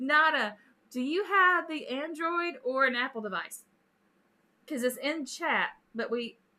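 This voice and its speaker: Her voice raised and projected, a woman speaks fairly slowly in a bright, sharp tone with lively intonation. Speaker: gaming streamer. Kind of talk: live stream casual chat. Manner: animated.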